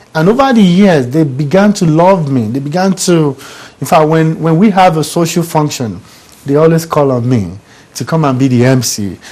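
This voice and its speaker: Over noticeable background noise, a man with an African accent talks at a moderate pace with lively intonation. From Nigeria. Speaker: business coach and author. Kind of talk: studio interview.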